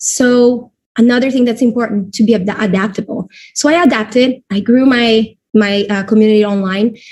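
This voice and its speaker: With a somewhat breathy, fairly high voice, a woman keeps a moderate pace and fairly even intonation. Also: very even loudness. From Brazil. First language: Portuguese. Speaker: network marketing leader. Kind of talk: webinar presentation.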